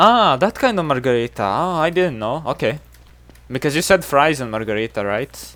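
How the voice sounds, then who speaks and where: Speaking at a moderate pace with a Serbian accent, a man uses a fairly high pitch with very wide pitch swings. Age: 20s. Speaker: video game streamer. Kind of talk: casual live-stream chat.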